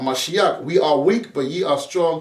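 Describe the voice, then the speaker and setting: A man with a non-native accent. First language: not English. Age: 40s. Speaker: preacher. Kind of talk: sermon. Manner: halting, repeats words; casual street slang.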